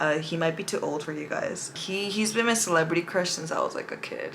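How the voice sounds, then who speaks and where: Over noticeable background noise, a woman with an American accent speaks in an animated tone with ordinary pitch variation. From California. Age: 20s. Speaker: beauty vlogger. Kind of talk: casual makeup tutorial chat.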